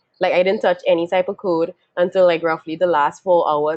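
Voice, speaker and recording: At a fairly quick pace, a woman with a slight Trinidadian accent speaks in a fairly low pitch, the sound dry and close with no echo. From Trinidad and Tobago. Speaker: software engineer, webinar panelist. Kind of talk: panel self-introduction.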